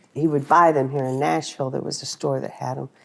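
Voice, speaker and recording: Here is a woman with a Texan accent and a very deep, low pitch. Her pitch variation is ordinary. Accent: Texan Southern US. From Texas. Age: 60s. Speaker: wife of a country singer. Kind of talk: casual interview chat. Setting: at home.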